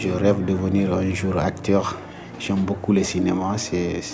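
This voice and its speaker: A man's very deep, low pitch and lively intonation, with audible room echo and noticeable background noise. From Senegal. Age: young. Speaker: migrant vocational student. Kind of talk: casual chat and testimony.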